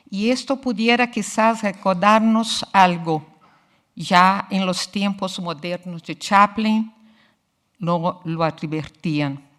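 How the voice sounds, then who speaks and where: A woman with a Portuguese accent at a very slow pace, ordinary pitch variation, very clean recording and silent background. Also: medium pitch for a woman. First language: Portuguese (speaking Spanish). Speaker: literature researcher. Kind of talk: lecture. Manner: formal.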